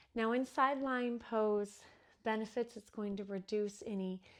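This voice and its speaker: A woman speaks fairly slowly with fairly even intonation in a plain, everyday voice. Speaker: yoga instructor. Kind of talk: guided restorative yoga class instruction. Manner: calm, soothing, gentle.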